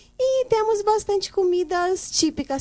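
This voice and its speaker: A woman speaks at a fairly slow pace. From Guinea-Bissau. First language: Guinea-Bissau Creole (speaking Portuguese). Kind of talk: casual chat.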